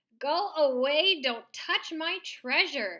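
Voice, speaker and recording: A woman's put-on character voice, high-pitched and growling, at a very slow pace. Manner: growling, guarding treasure.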